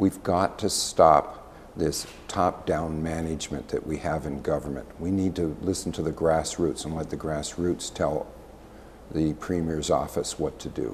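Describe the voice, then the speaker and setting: Speaking at a fairly slow pace with a Canadian accent, a man keeps his intonation fairly even at a very deep, low pitch. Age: 60s. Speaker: political candidate, former mayor. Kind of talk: interview.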